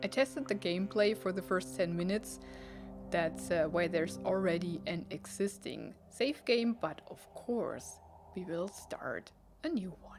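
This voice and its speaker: With music in the background, a woman with a non-native accent speaks at a fairly slow pace, her loudness swinging widely. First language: not English. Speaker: let's play gamer. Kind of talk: game commentary with reading aloud. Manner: casual.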